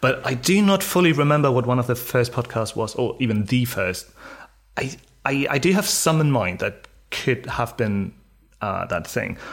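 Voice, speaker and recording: Speaking at a moderate pace, a man uses lively intonation. His pitch is medium and his voice somewhat breathy. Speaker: podcast co-host. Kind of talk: casual chat.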